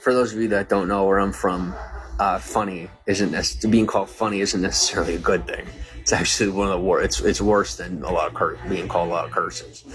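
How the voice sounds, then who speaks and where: Music plays in the background. Over it, a man speaks very fast. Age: 30s. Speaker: live streamer. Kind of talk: casual livestream chat.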